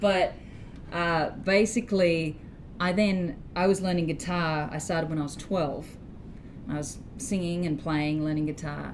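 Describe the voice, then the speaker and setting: A woman with an Australian accent, fairly low in pitch, at a fairly slow pace with long, frequent pauses, fairly even intonation and audible room echo. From Australia, Sydney. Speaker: blues guitarist and singer-songwriter. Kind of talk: interview.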